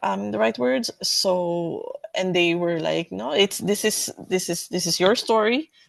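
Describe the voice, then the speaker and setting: Speaking at a fairly slow pace, a woman with a non-native accent uses a fairly low pitch, recorded dry and close with no echo. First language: not English. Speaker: community co-researcher. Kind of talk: panel discussion.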